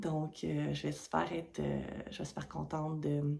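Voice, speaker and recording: A woman speaks with a Quebec accent. Her pace is fairly slow. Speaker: knitting podcaster. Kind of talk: casual vlog talk to camera. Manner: hesitant, many fillers.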